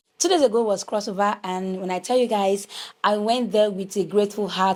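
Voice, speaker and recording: In a Nigerian accent, a woman talks at a moderate pace with fairly even intonation and a medium pitch. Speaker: lifestyle vlogger. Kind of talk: casual vlog talk.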